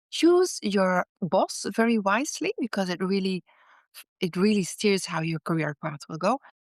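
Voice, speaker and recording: With a Dutch accent, a woman speaks at a moderate pace and with lively intonation, in a dry, close sound with no echo. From Netherlands. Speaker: author and former business executive. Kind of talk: interview testimony. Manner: halting, with fillers and repeats.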